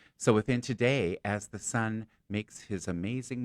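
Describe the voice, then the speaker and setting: The sound is close and dry, without echo. The man's voice carries vocal fry. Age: 60s. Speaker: psychic and stand-up comedian. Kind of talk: casual chat.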